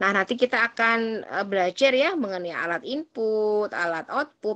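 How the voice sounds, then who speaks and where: Her intonation lively, a woman talks at a fairly slow pace with a fairly high pitch. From Banyuwangi, East Java, Indonesia; East Java, Indonesia. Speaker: university lecturer. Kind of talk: lecture. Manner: casual. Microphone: video call.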